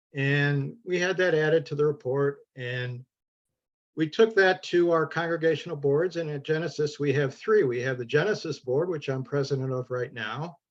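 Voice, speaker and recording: With a Midwestern US accent, a man speaks at a moderate pace. His pitch is fairly high, with ordinary pitch variation. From Ohio. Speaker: congregation board president, solar project panelist. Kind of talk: panel presentation. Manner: halting, many fillers.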